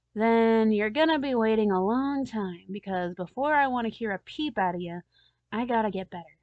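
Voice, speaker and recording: In a raspy put-on character voice, a woman speaks at a moderate pace, her pitch fairly high with ordinary variation. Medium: read story. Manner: grumbling, irritable.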